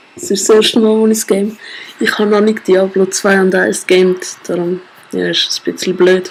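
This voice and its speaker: There is noticeable background noise as a woman with a Swiss accent talks at a medium pitch with ordinary pitch variation. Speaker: gamer. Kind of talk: casual let's play commentary. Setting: home screen recording, poor audio.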